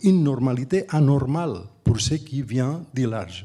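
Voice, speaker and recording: Music plays in the background. A man speaks at a medium pitch with lively intonation. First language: Catalan or Spanish (speaking French). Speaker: architect and urban planner, professor. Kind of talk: panel discussion. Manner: halting, with frequent restarts.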